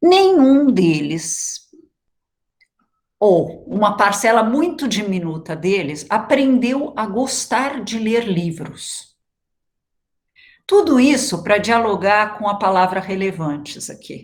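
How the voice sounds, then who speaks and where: A woman's somewhat breathy, fairly high voice with very wide pitch swings, a very slow pace and long, frequent pauses. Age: 60s. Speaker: education researcher, guest lecturer. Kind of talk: lecture.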